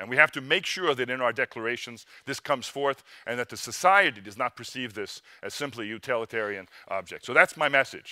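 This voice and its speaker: Fairly quick and bright, sharp in tone, a man's medium-pitched voice shows ordinary pitch variation and big swings in loudness, with a dry, close sound with no echo on a very clean recording with a silent background. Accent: North American. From North America. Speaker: research organization leader, panelist. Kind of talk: panel discussion remarks. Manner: hesitant, many fillers and repetitions.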